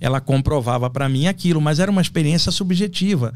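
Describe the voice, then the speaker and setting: A man with an unremarkable speaking voice, fairly high in pitch, with ordinary pitch variation and a fairly quick pace. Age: 60s. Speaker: astral projection specialist. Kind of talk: podcast interview.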